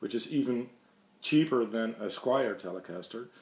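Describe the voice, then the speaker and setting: This man speaks with a Dutch accent at medium pitch. His pitch variation is ordinary. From Netherlands. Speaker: guitar hobbyist YouTuber. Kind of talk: casual show-and-tell video. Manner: halting, many fillers.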